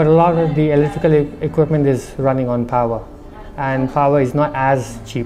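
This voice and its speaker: Over noticeable background noise, the speaker talks at a fairly quick pace. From India, Darjeeling. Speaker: restaurant owner. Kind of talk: interview.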